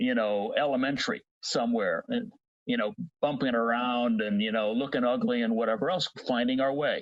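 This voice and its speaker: A man with a fairly high pitch talks at a moderate pace. His pitch swings very widely, and the sound is dry and close with no echo. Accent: Cincinnati. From US Midwest. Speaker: voice technology industry advocate. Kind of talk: podcast interview.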